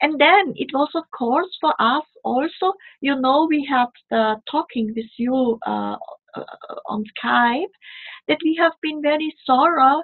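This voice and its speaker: Speaking with a non-native accent, a woman talks at a fairly slow pace. Her voice is high-pitched with ordinary pitch variation. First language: not English. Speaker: spiritual delegate. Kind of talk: casual chat. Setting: video call.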